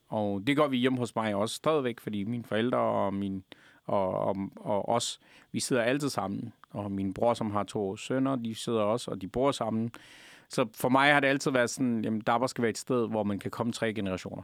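A man's normal speaking voice with fairly even intonation, on a very clean recording with a silent background. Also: medium pitch for a man, moderate pace. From Afghanistan. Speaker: restaurant owner. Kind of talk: interview.

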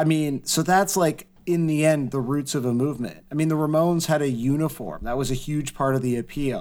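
A man with a Canadian accent and an unremarkable speaking voice talks at a fairly quick pace and fairly high pitch, with ordinary pitch variation and hardly any pauses. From Canada, west-end Toronto suburb. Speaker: punk music writer. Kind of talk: casual chat.

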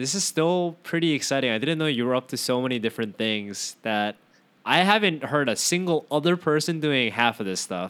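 Here a man talks at a fairly quick pace with a fairly high pitch and lively intonation, an unremarkable speaking voice. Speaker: podcast host. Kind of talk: casual chat. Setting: remote call.

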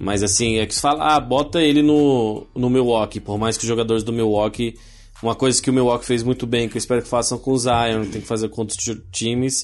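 Fairly even intonation runs through this very fast delivery. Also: man. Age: 30s. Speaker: podcast co-host. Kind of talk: casual chat.

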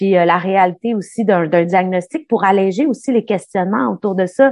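A woman with a Quebec accent talks at a medium pitch with ordinary pitch variation. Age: 40s. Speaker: documentary host. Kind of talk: interview. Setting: video call.

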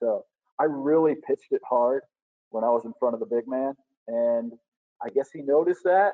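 Speaking in an American accent, a man with a fairly high pitch uses lively intonation. His pace is moderate, with long, frequent pauses. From US South, northern Alabama. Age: 20s. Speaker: minor league baseball promotions manager and former radio producer. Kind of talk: casual interview chat.

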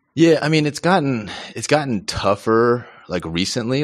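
A man is speaking. The background is quiet. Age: 30s. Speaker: stencil artist. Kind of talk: casual chat. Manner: halting, many repetitions.

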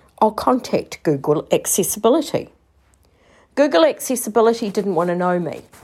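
Vocal fry and very wide pitch swings mark this moderate-paced speech, heard in a very clean recording with a silent background. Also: woman. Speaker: listener contributor. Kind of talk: voice message. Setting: recorded voice message.

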